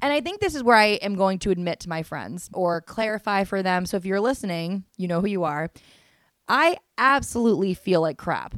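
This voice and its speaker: The recording is very clean, with a silent background and a dry, close sound with no echo. A woman talks at a fairly quick pace in a medium pitch with lively intonation. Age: 30s. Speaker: podcast host. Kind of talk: casual solo monologue.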